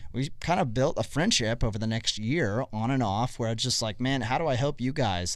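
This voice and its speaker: A man's unremarkable speaking voice, medium in pitch with ordinary pitch variation, at a fairly quick pace. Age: 30s. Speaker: youth ministry podcast host. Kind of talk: casual interview.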